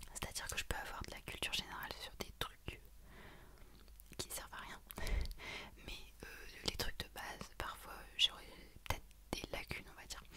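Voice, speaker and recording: A woman whispers at a moderate pace, leaving long, frequent pauses. Her loudness swings widely over noticeable background noise. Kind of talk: ASMR general-knowledge facts read to camera. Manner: whispered.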